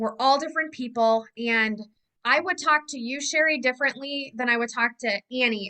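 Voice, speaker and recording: A woman speaks at a fairly quick pace. Her voice is high, with ordinary pitch variation. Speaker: direct sales team leader. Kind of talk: team meeting talk. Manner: fast; animated.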